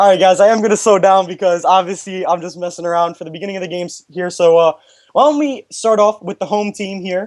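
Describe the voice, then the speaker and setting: This woman talks at a medium pitch with ordinary variation in her pitch. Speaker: esports commentator. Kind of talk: live commentary. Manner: animated.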